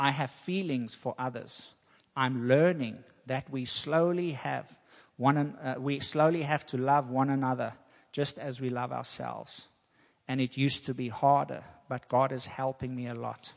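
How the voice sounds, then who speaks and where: A man in an unremarkable speaking voice talks at a moderate pace with fairly even intonation. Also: medium pitch for a man. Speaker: preacher. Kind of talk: sermon. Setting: church.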